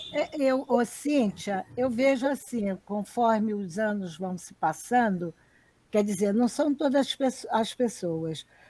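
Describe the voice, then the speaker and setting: Somewhat breathy, the voice has a dark, mellow tone and lively intonation at a very slow pace. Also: woman, fairly high pitch for a woman. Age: 60s. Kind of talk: live stream conversation.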